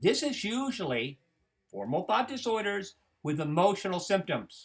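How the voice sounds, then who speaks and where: At a fairly slow pace, a man speaks in a bright, sharp tone in a very clean recording with a silent background. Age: old. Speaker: psychology instructor. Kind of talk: lecture. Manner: animated.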